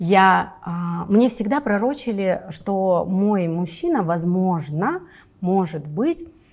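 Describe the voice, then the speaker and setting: A somewhat breathy woman's voice at a very slow pace. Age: 30s. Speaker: film producer. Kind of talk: interview. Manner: casual, hesitant fillers.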